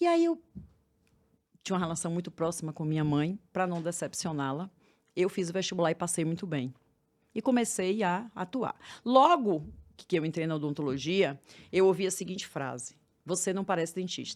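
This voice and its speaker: Speaking at a fairly low pitch and a moderate pace with ordinary pitch variation, a woman leaves long, frequent pauses in a very clean recording with a silent background. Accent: Bahian. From Bahia, Brazil. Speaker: therapist for women. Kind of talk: podcast interview.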